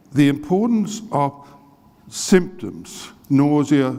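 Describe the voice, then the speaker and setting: A man with an Australian accent and lively intonation. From Australia, Adelaide. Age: 60s. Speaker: medical professor and researcher. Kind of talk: lecture.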